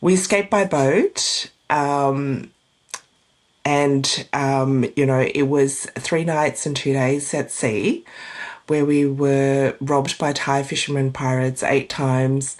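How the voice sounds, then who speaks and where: The speaker has an Australian accent. Delivery is very slow, with fairly even intonation. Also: woman, very deep, low pitch for a woman. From Australia, arrived from Vietnam at age four. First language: Vietnamese. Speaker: divorce coach. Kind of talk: interview.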